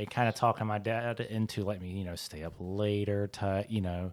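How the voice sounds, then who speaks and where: Recorded very cleanly against a silent background, a man talks with a Southern US accent. His intonation stays fairly even. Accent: Southern US (Georgia). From US South, South Georgia. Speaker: podcast host. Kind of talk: casual chat.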